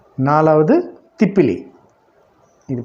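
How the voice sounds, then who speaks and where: A man speaks in a plain, everyday voice, pitched fairly high for a man, with ordinary pitch variation. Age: 60s. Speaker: yoga teacher. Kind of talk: tutorial. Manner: casual, repetitive.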